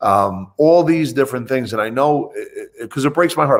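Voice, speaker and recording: A man with a New Jersey accent speaks at a moderate pace with ordinary pitch variation on a very clean recording with a silent background. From New Jersey (Bayonne, Hudson County). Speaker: financial advisor. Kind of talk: interview.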